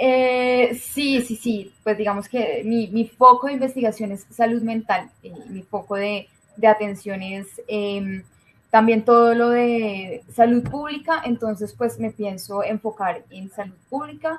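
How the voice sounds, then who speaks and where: In a Colombian accent, a woman with a fairly high pitch and ordinary pitch variation speaks at a very slow pace, her loudness swinging widely. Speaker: doctor and public health researcher. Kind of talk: interview.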